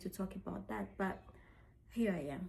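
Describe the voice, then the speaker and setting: At a moderate pace, a woman speaks in a medium pitch with a somewhat breathy quality. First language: French. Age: 30s. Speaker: lifestyle vlogger. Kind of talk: personal vlog. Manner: halting.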